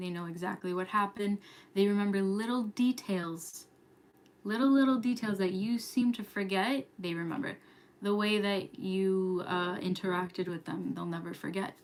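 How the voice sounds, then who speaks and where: Noticeable background noise behind a woman's medium-pitched voice, with fairly even intonation and a moderate pace. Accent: American. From New York. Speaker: astrology youtuber. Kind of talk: casual livestream chat. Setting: live stream at home. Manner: whispering, quiet.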